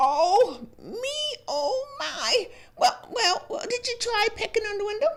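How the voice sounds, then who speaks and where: A woman uses a put-on character voice with an extremely high pitch and very wide pitch swings. She speaks at a fairly slow pace. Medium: read story.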